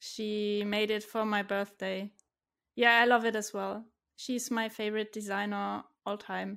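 In a German accent, a woman speaks fairly slowly with monotone, flat intonation at a fairly high pitch, on a very clean recording with a silent background. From Germany, Stuttgart (southwest). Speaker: software developer, freelancer. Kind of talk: casual interview chat.

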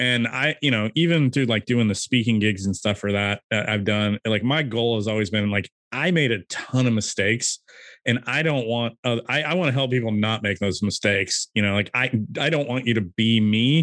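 A man with an American accent talks at a moderate pace in a medium pitch. It is a normal speaking voice with ordinary pitch variation. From California. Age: 30s. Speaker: e-commerce seller. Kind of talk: casual interview. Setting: call.

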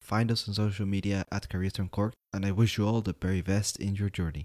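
A man's fairly low voice in a dark, mellow tone, with a dry, close sound with no echo and a very clean recording with a silent background. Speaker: podcast host. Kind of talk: interview conversation. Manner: casual, filler-heavy.

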